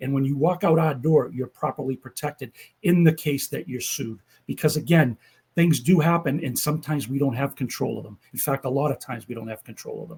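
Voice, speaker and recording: Going at a fairly quick pace, a man with a fairly high pitch and vocal fry shows ordinary pitch variation and big swings in loudness. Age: 60s. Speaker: insurance agent. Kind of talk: casual interview.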